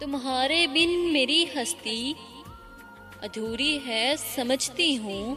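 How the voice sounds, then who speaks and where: A raised, projected voice carries ordinary pitch variation. Music plays in the background. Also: woman. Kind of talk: poetry reading. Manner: emotional.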